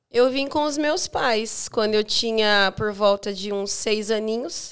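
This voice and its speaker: This woman speaks very slowly in a fairly high voice, with ordinary pitch variation. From Paraná, Brazil (Campo Mourão, Maringá). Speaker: businesswoman and church deaconess. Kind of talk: interview.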